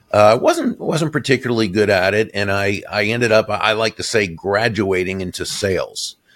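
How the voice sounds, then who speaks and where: This man has a plain, everyday voice, fairly low in pitch, with an American accent. He speaks at a moderate pace on a very clean recording with a silent background. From Boston, Massachusetts. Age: 60s. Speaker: author and sales speaker. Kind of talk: interview. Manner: warm, gracious.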